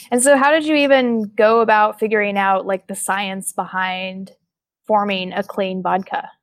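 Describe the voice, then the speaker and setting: In an American accent, a woman speaks at a moderate pace and medium pitch with ordinary pitch variation, an unremarkable speaking voice. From Oklahoma. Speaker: podcast host. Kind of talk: interview.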